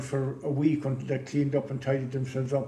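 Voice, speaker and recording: With a Clare accent, the speaker talks at a fairly quick pace in a dark, mellow, somewhat breathy tone, with audible room echo around the voice. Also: man. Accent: Irish (west Clare). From west Clare, Ireland. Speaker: businessman. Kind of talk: interview, life story. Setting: museum, filmed podcast. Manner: hesitant, many fillers.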